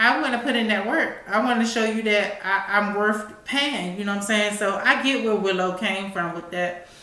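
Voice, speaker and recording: A woman with an American accent speaks at a moderate pace with ordinary pitch variation. The recording has noticeable background noise and audible room echo. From Washington DC. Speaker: talk show host. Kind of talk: casual commentary. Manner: halting.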